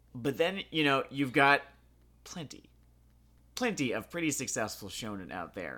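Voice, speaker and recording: A man speaks at a moderate pace in a fairly high voice that is bright and sharp, with vocal fry and long, frequent pauses. His pitch swings very widely, his loudness varies greatly, and the recording is very clean with a silent background. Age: 20s. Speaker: anime podcast co-host. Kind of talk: casual chat.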